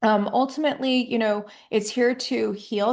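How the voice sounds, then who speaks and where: At a moderate pace, a woman speaks in a normal speaking voice, her fairly high pitch kept in fairly even intonation. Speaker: astrologer. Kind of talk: horoscope monologue. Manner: casual with fillers.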